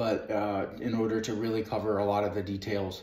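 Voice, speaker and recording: The speech moves at a moderate pace. Room echo is audible. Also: man. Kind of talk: tutorial. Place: home room. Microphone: camera far.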